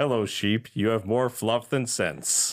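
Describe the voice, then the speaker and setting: A man's put-on character voice at a fairly slow pace. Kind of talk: playfully scolding, talking to a pet.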